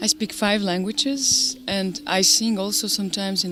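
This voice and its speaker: Music plays in the background. A woman talks in an Albanian accent. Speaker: jazz singer. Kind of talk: interview. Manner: halting.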